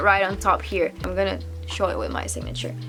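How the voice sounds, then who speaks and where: Over music in the background, a woman speaks at a very fast pace with a non-native accent. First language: not English. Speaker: international student. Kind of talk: casual talk to camera. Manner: rambling.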